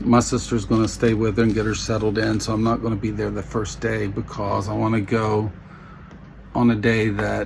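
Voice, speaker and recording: Amid noticeable background noise and audible room echo, a man with an American accent speaks at a moderate pace. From US South. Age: 60s. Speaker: vlogger. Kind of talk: personal vlog. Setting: home bedroom. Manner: halting.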